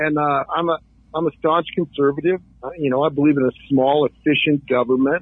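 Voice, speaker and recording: A plain, everyday voice belongs to a man with a fairly high pitch. He talks at a fairly quick pace with fairly even intonation. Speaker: political candidate, contractor. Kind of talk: radio interview, campaign talk.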